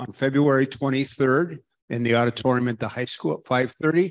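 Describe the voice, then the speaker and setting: In an ordinary speaking voice, a man talks at a fairly slow pace and medium pitch with ordinary pitch variation over a quiet background. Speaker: retired school superintendent. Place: hall.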